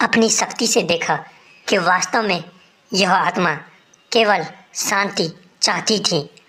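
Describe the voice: Reading aloud plainly, with pitch that varies in an ordinary manner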